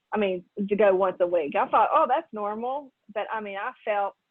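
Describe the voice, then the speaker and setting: A woman with a normal speaking voice talks at a moderate pace in a fairly high pitch, using ordinary pitch variation. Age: 60s. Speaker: retired network marketing distributor. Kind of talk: testimony.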